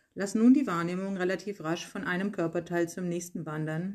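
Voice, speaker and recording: Fairly low in pitch, a woman speaks with an unremarkable speaking voice and fairly even intonation. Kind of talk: guided meditation. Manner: slow, calm, soothing, unhurried; gentle, soft-spoken, with long pauses.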